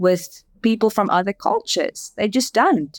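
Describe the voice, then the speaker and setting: Recorded very cleanly with a silent background and a dry, close sound with no echo, a woman in a South African accent speaks at medium pitch and moderate pace with ordinary pitch variation. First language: Afrikaans. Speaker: advertising agency managing director. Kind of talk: interview.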